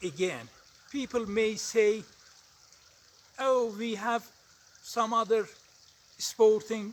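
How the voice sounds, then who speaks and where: The speaker has an Azerbaijani accent and monotone, flat intonation. Noticeable background noise is present. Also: man. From Iran. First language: Azeri. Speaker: english learner vlogger. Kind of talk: casual vlog monologue. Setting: outdoors on a mountain. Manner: halting, with frequent hesitations.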